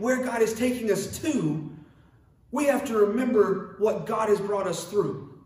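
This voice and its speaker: A man speaks with ordinary pitch variation. There is noticeable background noise and audible room echo. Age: 20s. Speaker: pastor. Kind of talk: sermon. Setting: online church service.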